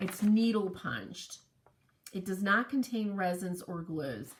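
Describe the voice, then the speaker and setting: A very slow pace over noticeable background noise. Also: woman. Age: 60s. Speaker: quilting instructor. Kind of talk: tutorial. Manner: casual, conversational with fillers.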